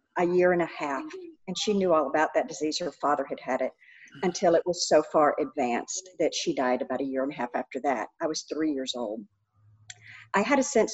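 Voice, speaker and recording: A woman speaks at a fairly quick pace in an ordinary speaking voice. Her pitch sits fairly low. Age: 60s. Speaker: recovery speaker and counselor. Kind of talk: interview conversation.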